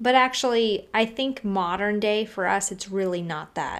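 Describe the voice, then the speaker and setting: With ordinary pitch variation and a fairly slow pace, this is a plain, everyday voice. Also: woman. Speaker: podcast host. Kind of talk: casual chat.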